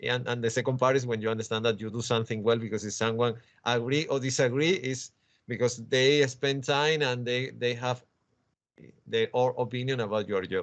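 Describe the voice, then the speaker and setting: Moderate pace and fairly even intonation, in a Spanish accent. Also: man. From Spain. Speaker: comics scholar and author. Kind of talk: interview conversation. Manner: halting, many repetitions.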